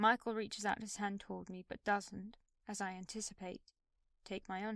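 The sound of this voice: Behind the voice, the background stays quiet. It is an unforced reading voice with fairly even intonation.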